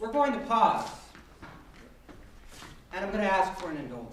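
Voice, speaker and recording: A man's high voice makes very wide pitch swings, with noticeable background noise underneath. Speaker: storyteller and librettist. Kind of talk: live storytelling performance to an audience. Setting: live stage performance, audience present.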